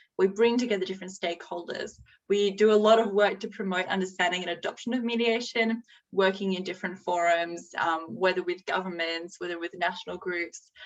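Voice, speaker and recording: In an Australian accent, the voice moves at a fairly quick pace with ordinary pitch variation. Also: woman. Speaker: executive director of a mediation institute. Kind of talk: slide presentation.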